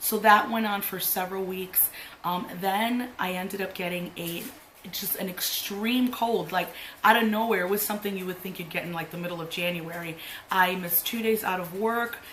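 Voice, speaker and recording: In a room with audible echo and noticeable background noise, a woman speaks at medium pitch and a moderate pace with fairly even intonation. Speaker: beauty youtuber. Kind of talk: makeup tutorial chat. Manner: casual, filler-heavy.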